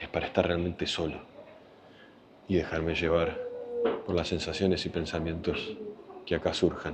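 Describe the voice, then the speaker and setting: A quiet, very deep, low male voice over noticeable background noise. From Argentina, Buenos Aires. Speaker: travel vlogger. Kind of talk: travel vlog. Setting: outdoors in a cemetery. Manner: speaking quietly.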